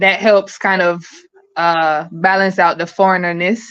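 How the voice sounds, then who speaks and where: Here a woman speaks with an American accent. Her medium pitch shows ordinary variation. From US Midwest and South (Chicago, Atlanta). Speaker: podcast guest, expat in Jamaica. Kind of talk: casual interview chat.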